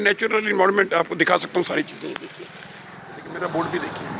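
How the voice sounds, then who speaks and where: Amid noticeable background noise, a man talks in a raised, projected voice. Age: 70s. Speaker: retired academic vlogger. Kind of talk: casual monologue vlog. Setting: outdoors.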